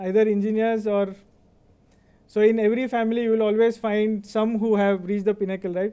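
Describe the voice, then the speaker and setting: A man's high-pitched voice with an Indian accent, dark and mellow in tone, with monotone, flat intonation. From India (Baroda, Gujarat). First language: Kannada. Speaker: finance executive, convocation speaker. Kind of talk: speech.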